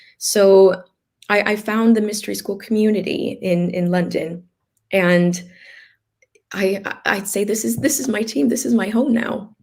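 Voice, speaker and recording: Using an American accent, a woman speaks at a fairly slow pace with long, frequent pauses, her medium-pitched voice somewhat breathy with ordinary pitch variation. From US West, Los Angeles. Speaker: healer and organ donation advocate. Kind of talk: interview testimony. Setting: live stream video chat. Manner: hesitant, many fillers and repeats.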